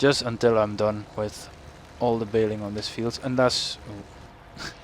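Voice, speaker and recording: In a strong Dutch accent, a man speaks very slowly at a fairly low pitch. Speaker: gaming YouTuber. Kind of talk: let's play commentary. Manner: casual, halting with self-corrections.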